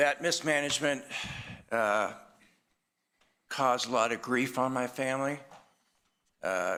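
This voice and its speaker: Bright and sharp in tone, a man speaks with a Boston accent. His pitch is medium, with ordinary pitch variation. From Boston area. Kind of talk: public comment at council meeting. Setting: council chamber. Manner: halting, many fillers.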